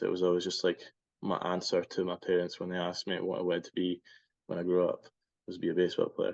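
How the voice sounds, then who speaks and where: Very fast speech over a quiet background. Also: man. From Scotland. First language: Spanish. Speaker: baseball player. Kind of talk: interview. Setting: podcast.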